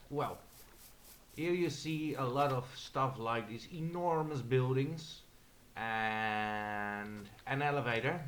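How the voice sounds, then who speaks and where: Speaking very slowly with long, frequent pauses, the voice has a Dutch accent, a bright, sharp tone and ordinary pitch variation, and the room echo is audible. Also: man. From Netherlands. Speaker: gamer. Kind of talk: gameplay commentary. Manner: halting.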